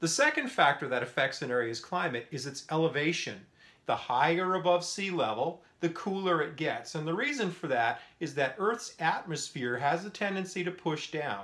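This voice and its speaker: Delivered at a moderate pace with hardly any pauses, the voice has a bright, sharp tone and lively intonation. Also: man, high pitch for a man. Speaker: science teacher. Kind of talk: lecture. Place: home room. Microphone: phone near.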